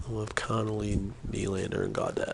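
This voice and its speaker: A man speaks quietly. Noticeable background noise can be heard. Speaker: gaming streamer. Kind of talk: live gameplay stream. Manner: quiet, keeping voice down; casual, with fillers.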